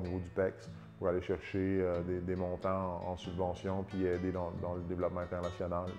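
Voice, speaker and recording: Over music in the background, a man with a Côte-Nord Quebec accent speaks at a moderate pace, his very deep, low pitch held in a monotone, flat intonation. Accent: Côte-Nord Quebec French, warm. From Havre-Saint-Pierre, Côte-Nord, Quebec. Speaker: distillery founder. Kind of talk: interview answer.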